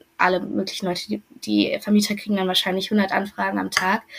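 A woman talks at a fairly quick pace. Her voice carries vocal fry. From western Germany, near Düsseldorf. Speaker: former exchange student. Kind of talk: interview.

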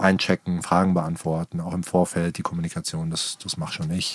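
A man's very deep, low voice, with fairly even intonation, at a moderate pace. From Germany, Darmstadt (Rhine-Main). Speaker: guesthouse owner. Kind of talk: casual interview. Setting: in a van outdoors. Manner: hesitant, with fillers.

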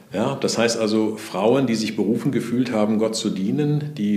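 Audible room echo surrounds a man's fairly low voice. He talks at a moderate pace with ordinary pitch variation. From Sauerland, Germany, near the Ruhr area. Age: 60s. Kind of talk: interview conversation.

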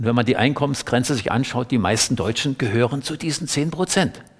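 Lively intonation marks this man's somewhat breathy voice. He keeps a moderate pace. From East Germany, Saxony-Anhalt (Middle Elbe). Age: 70s. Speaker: author and environmentalist. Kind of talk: public talk. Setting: library event with audience.

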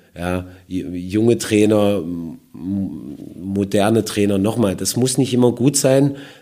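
A man talks very slowly with a fairly low pitch and ordinary pitch variation. The room echo is audible. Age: 40s. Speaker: football coach. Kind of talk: interview. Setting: football stadium.

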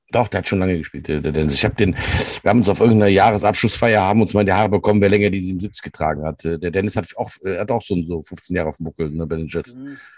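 A man talks at a very fast pace with hardly any pauses, his pitch very deep and low. His pitch variation is ordinary, and there is noticeable background noise. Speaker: podcast co-host, youth American football coach. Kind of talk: casual chat. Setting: barn office.

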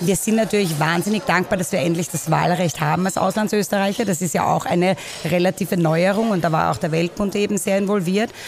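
Amid noticeable background noise, a woman talks at a fairly quick pace and medium pitch, with ordinary pitch variation and very even loudness. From Vienna, Austria (Währing). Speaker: expat association member. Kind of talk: interview. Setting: coffee house.

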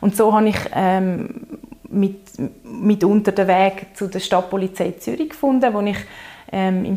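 There is noticeable background noise behind a woman speaking at medium pitch with fairly even intonation. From Zurich, Switzerland. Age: 30s. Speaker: lawyer in training and queer activist. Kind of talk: casual interview conversation.

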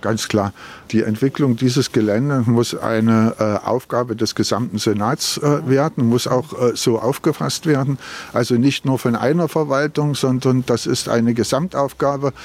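With a normal speaking voice, a man talks at a fairly slow pace and medium pitch, his loudness very even and his pitch variation ordinary. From Berlin. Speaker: local politician. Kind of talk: walking interview. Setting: outdoors.

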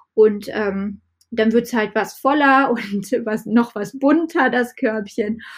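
Her pitch fairly high and ordinarily varied, a woman speaks at a very slow pace. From western Germany, Düren near Aachen. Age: 30s. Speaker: market gardener. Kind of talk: casual chat.

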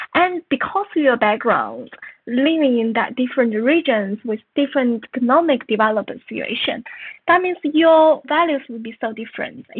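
A woman with a Chinese accent, high pitch, lively intonation and a moderate pace. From northern China. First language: Mandarin Chinese. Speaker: author and journalist. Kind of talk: interview.

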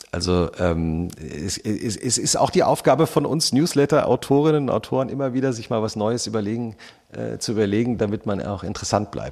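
Vocal fry runs through a man's medium-pitched voice. He talks at a fairly quick pace. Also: lively intonation. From Hesse, Germany. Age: 40s. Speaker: magazine editor and podcaster. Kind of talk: interview. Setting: live podcast stage with audience.

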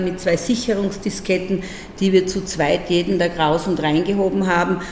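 Fairly quick, medium-pitched speech from a woman amid noticeable background noise. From Austria, Burgenland (Breitenbrunn am Neusiedler See). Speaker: regional parliament president. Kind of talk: interview conversation. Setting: parliament building. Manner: lively.

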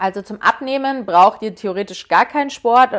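A woman speaks with ordinary pitch variation at a moderate pace, and the recording is very clean with a silent background. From Munich, Bavaria. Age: 20s. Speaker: podcast host and influencer. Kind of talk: solo Q&A casual talk. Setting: home bedroom.

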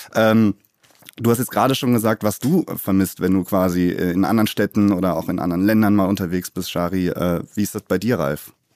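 Here is a man with an ordinary speaking voice, fairly low in pitch, talking at a fairly quick pace. His pitch varies in an ordinary way, and the sound is dry and close with no echo. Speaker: podcast host. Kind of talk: casual chat.

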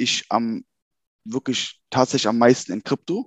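Against a quiet background, a man speaks at a medium pitch in a dry, close sound with no echo. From Germany, Cologne-Bonn area. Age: 30s. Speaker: banker and crypto enthusiast. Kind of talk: casual interview chat.

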